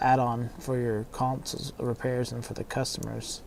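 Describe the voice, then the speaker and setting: With a dark, mellow tone, a man speaks at medium pitch in a monotone, flat intonation. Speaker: console repair technician streamer. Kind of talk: casual livestream chat. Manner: mumbling.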